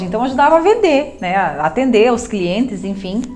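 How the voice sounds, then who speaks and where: Over noticeable background noise and audible room echo, a woman talks fairly quickly in a high pitch. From southern Brazil, interior of Rio Grande do Sul. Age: 30s. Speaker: businesswoman and coach. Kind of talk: personal testimony to camera. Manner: halting, with self-corrections and fillers.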